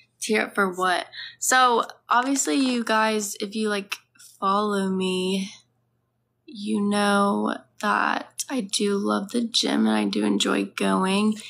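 Over light background noise, a woman talks very slowly. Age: 20s. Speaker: livestreamer. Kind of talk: casual chat. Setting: lying down at home with her dog. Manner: animated. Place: home room. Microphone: phone near.

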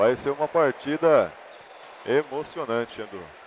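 Against noticeable background noise, a man speaks at a fairly slow pace with a fairly high pitch. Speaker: futsal color commentator. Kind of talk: live sports commentary.

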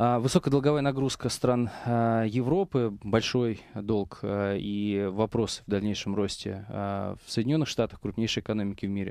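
Speaking at a moderate pace with hardly any pauses, a man with a fairly low pitch and ordinary pitch variation is heard in a dry sound with no echo against a quiet background. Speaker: investment company managing director. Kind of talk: radio talk show discussion. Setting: studio. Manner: halting. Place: studio. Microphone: headset.

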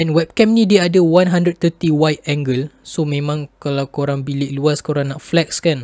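A man at a fairly high pitch and fairly slow pace, with ordinary pitch variation, in a dry sound with no echo and a quiet background. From Malaysia. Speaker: YouTuber, tech reviewer; tech reviewer. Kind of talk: product review. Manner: casual. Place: home room. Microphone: built-in webcam microphone; studio mic.

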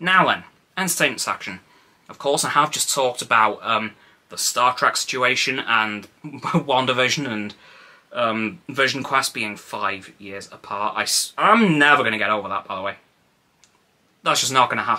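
A man at a moderate pace, lively in intonation, with big swings in loudness and long, frequent pauses. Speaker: vlogger. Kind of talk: casual vlog chat. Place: home room. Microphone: phone near.

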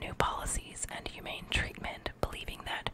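A soft-spoken woman whispering at a moderate pace over loud background noise. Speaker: reader. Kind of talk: reading a textbook aloud with brief asides. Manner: soft close-mic whispered reading. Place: home room. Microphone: studio mic.

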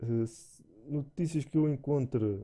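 A man with a European Portuguese accent, speaking at a fairly slow pace. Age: 30s. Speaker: gaming YouTuber. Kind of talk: channel introduction monologue. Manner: halting, many fillers and repetitions.

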